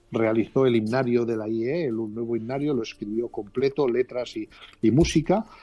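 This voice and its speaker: Speech with fairly even intonation plays over music in the background. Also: man. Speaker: former Bible society director. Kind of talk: interview answer. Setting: phone line.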